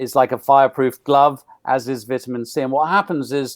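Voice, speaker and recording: A man with a normal speaking voice talks at a fairly high pitch and fairly quick pace, his intonation fairly even, in a dry, close recording with no echo. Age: 60s. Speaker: nutrition expert. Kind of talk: interview.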